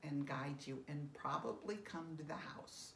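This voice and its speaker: A woman speaks at a very slow pace with fairly even intonation. Audible room echo and light background noise surround her voice. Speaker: end-of-life educator. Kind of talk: educational talk to camera. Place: home room. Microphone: phone near.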